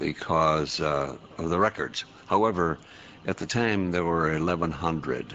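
A man with a very deep, low pitch, vocal fry and a bright, sharp tone talks at a fairly slow pace. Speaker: war veteran. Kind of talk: radio interview. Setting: studio.

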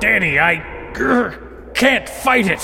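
Here a man growls in a put-on character voice. Background noise is clearly audible. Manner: struggling, strained.

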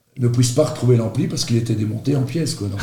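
Medium-pitched male voice, dark and mellow in tone, somewhat breathy, with ordinary pitch variation and audible room echo. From Belgium, Charleroi (Marchienne). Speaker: radio host. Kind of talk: casual interview.

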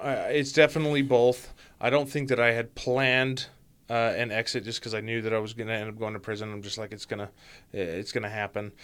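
A very fast man's voice at medium pitch with an American accent and fairly even intonation, in a very clean recording with a silent background. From Utah. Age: 30s. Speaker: former inmate in recovery, now program staff. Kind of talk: interview, personal testimony.

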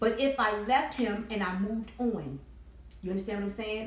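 A woman's fairly high, animated voice with lively intonation, over noticeable background noise and audible room echo. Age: 40s. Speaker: podcast co-host. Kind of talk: casual chat. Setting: live stream.

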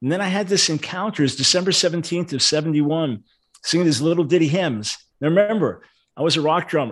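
A man talks in a plain, everyday voice at a fairly high pitch and fairly quick pace. His pitch variation is ordinary, and the background is quiet. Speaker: preacher and radio host. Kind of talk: casual interview.

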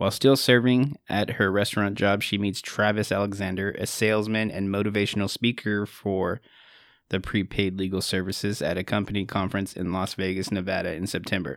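With a plain, everyday voice, a man talks fairly quickly at a fairly low pitch and fairly even intonation in a very clean recording with a silent background. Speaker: podcast host. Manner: laughing, casual.

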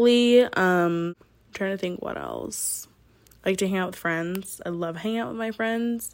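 An unremarkable speaking voice from a woman with an American accent, medium in pitch, ordinary in pitch variation and fairly slow, on a very clean recording with a silent background. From military upbringing, partly New York. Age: 20s. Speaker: podcast host. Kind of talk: casual monologue.

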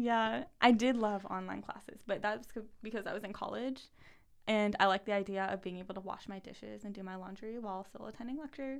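At a fairly quick pace, a woman speaks in a plain, everyday voice at medium pitch with ordinary pitch variation and big swings in loudness. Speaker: guest sharing her story.

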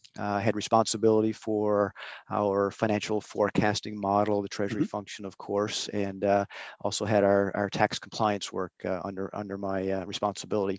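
Against a quiet background, a man speaks at a fairly quick pace in a fairly low pitch, the sound dry and close with no echo. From Newfoundland. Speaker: utility company manager. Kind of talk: interview conversation. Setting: video call. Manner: halting with many fillers and repetitions.

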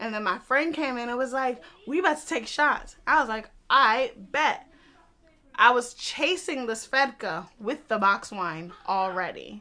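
A woman speaks at a fairly slow pace in a high pitch, with a bright, sharp tone. Her delivery is animated, with very wide pitch swings. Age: 20s. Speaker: podcast host. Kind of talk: casual banter chat.

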